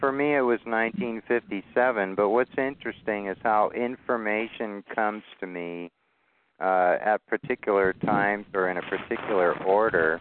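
At a moderate pace, a man speaks fairly low in a clear, smooth tone with ordinary pitch variation, the sound dry and close with no echo.

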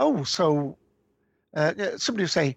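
A man in a British accent, with ordinary pitch variation, a dry, close sound free of echo and a quiet background. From UK. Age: old. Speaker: podcast co-creator. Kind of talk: casual interview. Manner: halting, many fillers.

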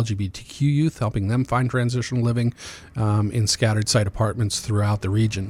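A man talks at a fairly quick pace with a medium pitch. His voice is somewhat breathy, and his intonation stays fairly even. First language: Amharic. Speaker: nonprofit executive director for homeless youth. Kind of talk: radio interview. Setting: radio studio.

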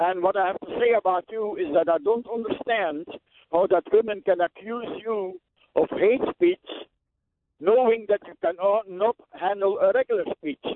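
The speaker talks with a non-native accent. The pace is moderate. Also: man, high pitch for a man, ordinary pitch variation. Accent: foreign. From Belgium. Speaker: caller. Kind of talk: phone-in comment.

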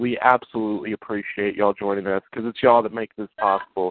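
The man's delivery is monotone, with flat intonation. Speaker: rapper and author. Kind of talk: casual chat.

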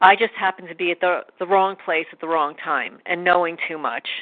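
Speaking with an American accent in a normal speaking voice, a woman keeps a medium pitch and a moderate pace. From New York. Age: 50s. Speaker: animal rescuer. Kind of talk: testimony.

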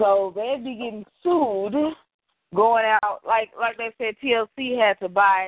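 In an American accent, a woman speaks with a plain, everyday voice and fairly high pitch. Her intonation is lively. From Texas, Dallas. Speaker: podcast co-host. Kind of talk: casual chat. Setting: phone call.

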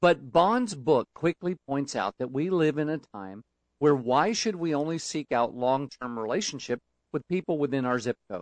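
Here a man has an unremarkable speaking voice, fairly high in pitch with lively intonation. He goes at a moderate pace, and the sound is dry and close with no echo. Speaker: book reviewer. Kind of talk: scripted book review. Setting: studio.

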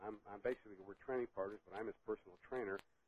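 The man has a fairly low pitch and fairly even intonation. His is an ordinary speaking voice. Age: 60s. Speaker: master bodybuilder. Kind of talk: casual interview chat.

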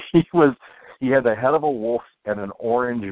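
Speech in an American accent with ordinary pitch variation. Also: man. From US, upper Ohio Valley. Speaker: illustrator. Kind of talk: casual chat. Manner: mumbles, hesitant with fillers.

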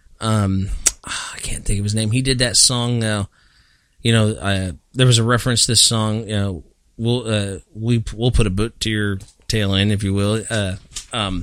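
Heard in a very clean recording with a silent background, a man has an ordinary speaking voice, with a fairly low pitch, fairly even intonation and a moderate pace. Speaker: podcast host. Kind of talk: casual chat. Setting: studio.

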